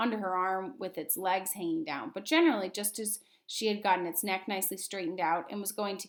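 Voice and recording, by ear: The speaker reads aloud in a natural voice, and the pitch varies an ordinary amount.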